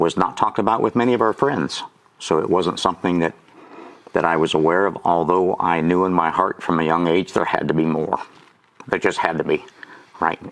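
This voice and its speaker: Noticeable background noise runs under this recording. A man with a very deep, low pitch speaks at a fairly quick pace. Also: ordinary pitch variation. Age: 60s. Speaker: auctioneer and lay minister. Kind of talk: testimony. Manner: conversational with frequent fillers.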